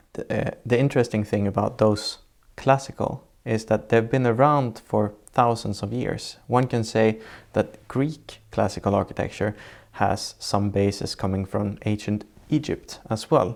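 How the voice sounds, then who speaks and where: Over a silent background in a very clean recording, a man with a Swedish accent speaks at a fairly slow pace, his medium-pitched voice fairly even in intonation. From southern Sweden. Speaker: architect. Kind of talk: interview. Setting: in person, seated together. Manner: halting.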